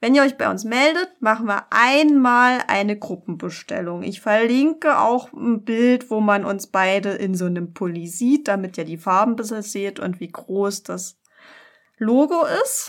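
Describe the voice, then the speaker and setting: A woman speaks in a fairly high pitch with lively intonation at a fairly slow pace. She has an unremarkable speaking voice. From Germany, near Dresden (Saxony). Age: 30s. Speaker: podcast co-host, local politician. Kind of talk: casual political chat.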